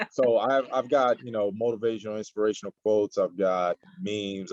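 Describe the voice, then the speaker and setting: With no echo at all, the sound is dry and close, and the flat, monotone intonation moves along at a moderate pace. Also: man. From US, raised from age 5 after leaving Nigeria. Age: 40s. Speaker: martial arts champion and social media influencer. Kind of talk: interview. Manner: casual, filler-heavy.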